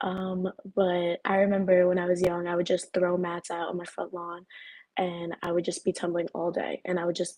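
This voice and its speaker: In an American accent, a woman talks at a moderate pace with a fairly low pitch. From US Northeast, Long Island, New York. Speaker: college gymnast. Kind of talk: panel discussion.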